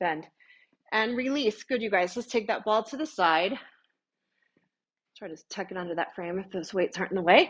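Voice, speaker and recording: Lively intonation and big swings in loudness mark a woman's medium-pitched speech. She keeps a moderate pace with long, frequent pauses. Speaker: pilates instructor. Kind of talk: fitness class instruction. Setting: studio.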